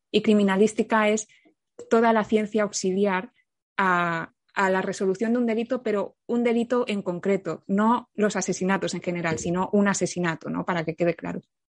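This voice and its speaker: A woman uses a normal speaking voice at medium pitch, with a moderate pace and fairly even intonation. The recording is dry and close with no echo, and the background is quiet. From Catalonia, Spain. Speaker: criminologist and content creator. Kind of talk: casual interview.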